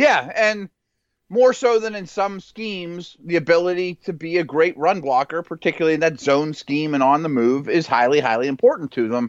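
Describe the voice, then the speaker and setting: Against a quiet background, with a dry, close sound and no echo, a man with an American accent speaks at a moderate pace. His high pitch carries lively intonation. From Pittsburgh, Pennsylvania. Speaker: football analyst and former NFL scout. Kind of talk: casual sports chat.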